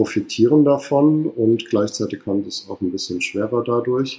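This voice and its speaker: Dark and mellow in tone, a man speaks at a fairly slow pace with a medium pitch and ordinary pitch variation. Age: 30s. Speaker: hotel manager. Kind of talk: interview. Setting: hotel staff room.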